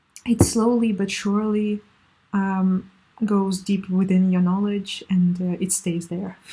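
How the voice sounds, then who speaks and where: A woman's medium-pitched, somewhat breathy voice with a dark, mellow tone and flat, monotone intonation. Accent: Russian. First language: Russian. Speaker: language learning vlogger. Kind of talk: casual tips monologue. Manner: halting, many fillers.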